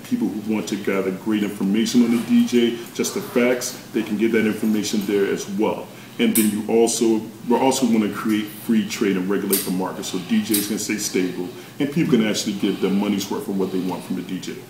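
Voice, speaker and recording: A man with an American accent speaks at a fairly low pitch with fairly even intonation. Room echo is audible, and there is noticeable background noise. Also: fairly quick pace. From North Carolina, Chapel Hill. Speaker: DJ. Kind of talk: interview.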